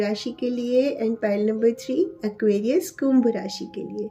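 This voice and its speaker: A woman's fairly high, fairly evenly intoned voice over noticeable background noise. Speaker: tarot reader. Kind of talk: tarot reading video. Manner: hesitant, frequent fillers.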